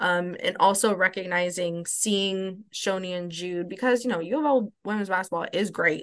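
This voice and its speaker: Pitch varies in an ordinary way at a moderate pace. A bright, sharp tone comes through. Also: woman. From Louisville, Kentucky. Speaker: higher education professional and advocate. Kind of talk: podcast interview.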